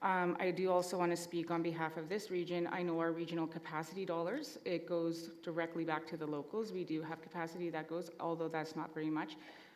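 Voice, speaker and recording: A woman speaks very fast in a flat monotone with hardly any pauses. Audible room echo and noticeable background noise fill the recording. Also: fairly low pitch for a woman. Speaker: assembly delegate. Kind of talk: formal meeting debate. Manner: soft-spoken.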